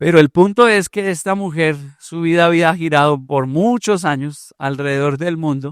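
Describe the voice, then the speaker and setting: A moderate pace and ordinary pitch variation in a Colombian accent, on a very clean recording with a silent background. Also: man, fairly high pitch for a man. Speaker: pastor. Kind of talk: sermon.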